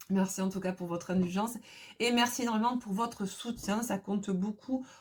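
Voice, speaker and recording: The voice is somewhat breathy, with fairly even intonation at a moderate pace. The recording is very clean and the background silent. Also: woman. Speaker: tarot card reader. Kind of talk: tarot reading video. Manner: casual, hesitant.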